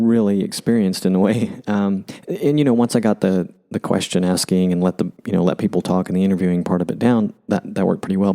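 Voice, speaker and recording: A man's fairly low voice, very even in loudness, with fairly even intonation and a fairly quick pace. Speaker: podcast host. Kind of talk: casual chat. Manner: mellow, low energy; hesitant, many fillers.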